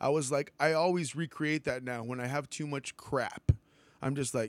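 An unremarkable speaking voice from a man with an American accent, medium pitch and ordinary pitch variation, in a dry, close sound with no echo. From US South, Texas (Weslaco). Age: 30s. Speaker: drummer. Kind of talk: casual chat.

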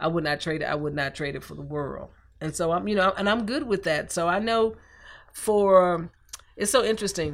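Recorded very cleanly against a silent background, a woman speaks in a Southern US accent at a fairly low pitch with ordinary pitch variation. She talks at a moderate pace with big swings in loudness. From US South, Columbus, Georgia. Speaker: artist and former fashion design professor. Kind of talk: interview.

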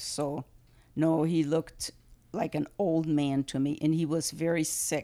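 A woman speaks at a fairly slow pace in a very deep, low pitch with a dark, mellow tone and monotone, flat intonation. Her loudness stays very even on a very clean recording with a silent background. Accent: German. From Germany. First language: German. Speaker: grandmother. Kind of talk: family interview. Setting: at home.

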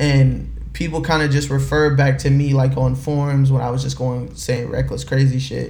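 With audible room echo and noticeable background noise, a man talks at a moderate pace with hardly any pauses. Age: 20s. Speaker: music label executive. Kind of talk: casual interview chat.

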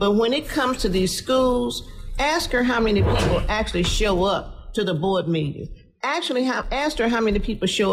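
Against noticeable background noise, a woman with an American accent speaks at a moderate pace and a fairly high pitch, with lively intonation and very even loudness. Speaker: city council member. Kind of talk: radio panel discussion.

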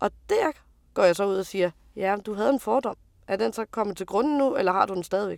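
A woman talks at a very fast pace, recorded with a dry, close sound and no echo. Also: very clean recording, silent background. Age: 30s. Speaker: truck driver. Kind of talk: interview testimony.

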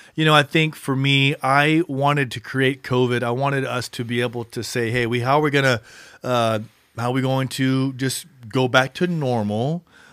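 A man talks in an ordinary speaking voice with a medium pitch and fairly even intonation. His pace is moderate, and the recording is very clean with a silent background. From Texas Gulf Coast, then California from mid-teens. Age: 40s. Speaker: pastor. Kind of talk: casual interview chat. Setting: studio.

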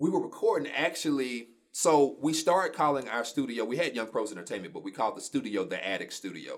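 A man with an American accent at a very fast pace, hardly any pauses. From Shreveport, Louisiana. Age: 30s. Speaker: media company owner. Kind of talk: casual interview.

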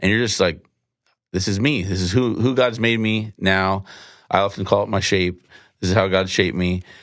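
A man talks at a moderate pace in a fairly low pitch, with fairly even intonation and a plain, everyday voice. The recording is very clean, with a silent background. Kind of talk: casual conversation on faith.

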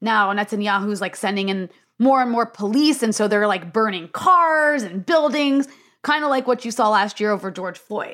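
A woman speaks with an American accent in a normal speaking voice, fairly high in pitch, at a moderate pace with lively intonation. The recording is very clean, with a silent background. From US, Lebanese family. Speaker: journalist. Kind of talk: casual chat.

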